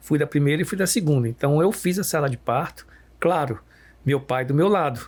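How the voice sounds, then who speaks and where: A man's fairly high-pitched voice with ordinary pitch variation, an ordinary speaking voice, on a very clean recording with a silent background. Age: 60s. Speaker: pediatrician. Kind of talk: podcast conversation.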